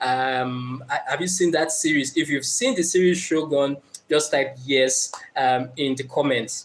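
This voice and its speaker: A man speaks with a Nigerian accent at a fairly slow pace. His pitch is fairly high and his intonation fairly even. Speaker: motivational speaker. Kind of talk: live stream talk. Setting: live stream. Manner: hesitant, many fillers.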